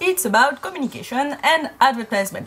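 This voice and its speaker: Over noticeable background noise, a woman with a French accent talks at a moderate pace in a high voice with very wide pitch swings. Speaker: university student. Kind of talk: casual talk to camera. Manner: chatty, rambling.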